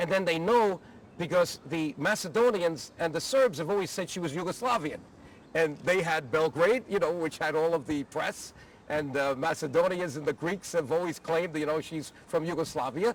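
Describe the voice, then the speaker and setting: Here a man speaks at a high pitch. His pace is moderate, with ordinary pitch variation. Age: 60s. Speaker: former congressman, advocacy group leader. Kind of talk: personal reminiscence interview. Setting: outdoors at the Capitol.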